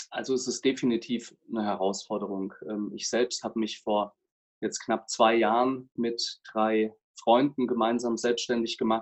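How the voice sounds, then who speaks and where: Speaking at a fairly slow pace, a man delivers his words with monotone, flat intonation. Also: medium pitch for a man. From Germany, Palatinate (Kaiserslautern). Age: 30s. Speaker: lawyer and business coach. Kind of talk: interview. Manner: hesitant, many fillers.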